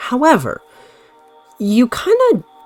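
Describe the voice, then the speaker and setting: A woman speaks with music in the background. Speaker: gaming YouTuber. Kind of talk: casual commentary.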